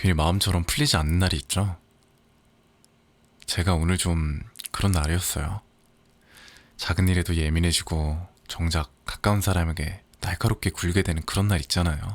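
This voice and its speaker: Very deep, low pitch from a man, in a gentle tone with fairly even intonation, very even loudness, a moderate pace and long, frequent pauses. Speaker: audiobook narrator. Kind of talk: casual spoken intro to listeners. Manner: soft-spoken, gentle.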